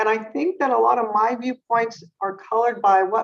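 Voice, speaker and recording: A woman with an American accent talks at a fairly quick pace in an unremarkable speaking voice. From US West Coast, San Jose, California. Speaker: neurologist. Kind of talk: interview.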